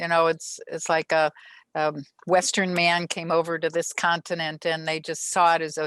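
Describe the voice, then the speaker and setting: A woman with an American accent, fairly low in pitch and fairly slow, in a dry, close sound with no echo against a quiet background. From Minnesota. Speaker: soil microbiologist. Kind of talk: interview. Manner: halting, many fillers.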